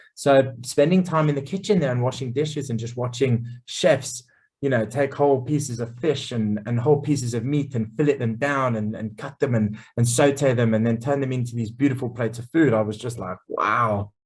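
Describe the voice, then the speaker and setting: Talking at a fairly quick pace, a man has a medium pitch and a somewhat breathy voice. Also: ordinary pitch variation. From England, Essex. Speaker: chef. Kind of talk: casual interview. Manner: many fillers and repeated words.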